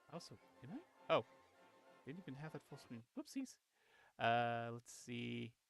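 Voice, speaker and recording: With music in the background, a man speaks at a fairly slow pace, leaving long, frequent pauses. The sound is dry and close with no echo, and the loudness swings widely. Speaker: gaming streamer. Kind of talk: live gameplay stream. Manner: quiet; halting. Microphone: old cheap headset mic, too quiet.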